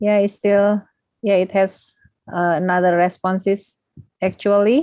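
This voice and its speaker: A woman with an Indonesian accent speaks fairly slowly in a dark, mellow voice of medium pitch, with fairly even intonation, very even loudness and a dry, close sound with no echo. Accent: Sundanese-accented English. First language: Sundanese. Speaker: lecturer. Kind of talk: closing remarks of a lecture.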